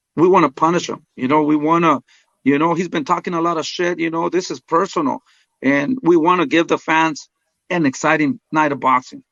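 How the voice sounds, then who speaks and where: Fairly quick speech in a Spanish accent, with ordinary pitch variation. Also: man, fairly high pitch for a man. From Mexico. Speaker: boxing trainer. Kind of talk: interview.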